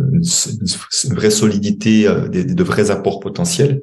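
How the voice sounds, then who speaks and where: A man with a fairly low pitch talks in very wide pitch swings. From Switzerland. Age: 60s. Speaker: money coach and former banker. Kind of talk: podcast interview. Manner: halting.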